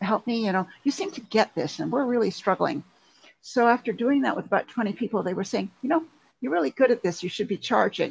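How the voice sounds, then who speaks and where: The sound is dry and close with no echo. A somewhat breathy woman speaks fairly quickly at a fairly high pitch with lively intonation. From Canada. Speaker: LinkedIn consultant. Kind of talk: interview.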